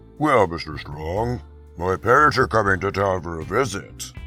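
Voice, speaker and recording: A man's put-on character voice, very deep and low, at a moderate pace over clear background music. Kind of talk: comic dub dialogue.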